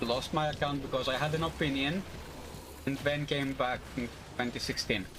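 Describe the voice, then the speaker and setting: A man talks at a moderate pace in a fairly high pitch while noticeable background noise runs underneath. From Greece. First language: Greek. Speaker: video game streamer. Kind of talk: live gameplay stream, casual chat with viewers. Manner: loud; halting, many fillers.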